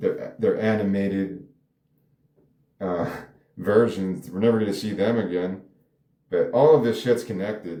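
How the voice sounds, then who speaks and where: Amid audible room echo, a man with a fairly low, dark and mellow voice talks at a moderate pace with ordinary pitch variation and long, frequent pauses. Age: 40s. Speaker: screenwriter and artist. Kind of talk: casual monologue. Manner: halting.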